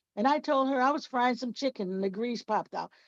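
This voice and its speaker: A woman with a Southern US accent speaks with ordinary pitch variation in a dry, close sound with no echo. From Mississippi. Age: 70s. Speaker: author and speaker. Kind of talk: personal testimony talk. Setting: video call.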